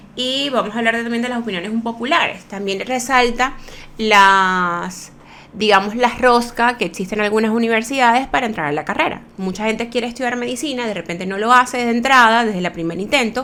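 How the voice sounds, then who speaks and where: Pitched fairly high, a woman speaks with a bright, sharp tone and ordinary pitch variation. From Venezuela, Maracaibo. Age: middle-aged. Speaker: aesthetic medicine doctor and podcast host. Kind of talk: casual podcast monologue. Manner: fast.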